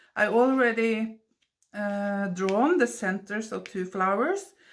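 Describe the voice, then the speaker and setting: With a Norwegian accent, a woman speaks at a very slow pace with ordinary pitch variation. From Norway. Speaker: watercolor artist. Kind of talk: tutorial. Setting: home studio voiceover. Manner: halting. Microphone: basic equipment, poor sound.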